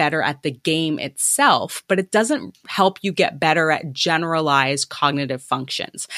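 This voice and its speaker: Heard in a very clean recording with a silent background, a woman with a Canadian accent speaks at a fairly low pitch in a bright, sharp tone. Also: dry, close sound with no echo. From Canada. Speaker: cognitive aging researcher. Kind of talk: interview.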